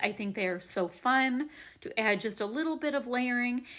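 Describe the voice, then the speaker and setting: Very clean recording against a silent background, carrying a bright, sharp tone. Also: woman. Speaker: crafting youtuber. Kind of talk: tutorial voiceover. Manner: animated.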